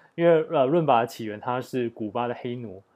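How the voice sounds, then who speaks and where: This man speaks at a medium pitch, and his pitch varies in an ordinary way. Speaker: podcast host. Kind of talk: solo podcast monologue. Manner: halting, many filler sounds.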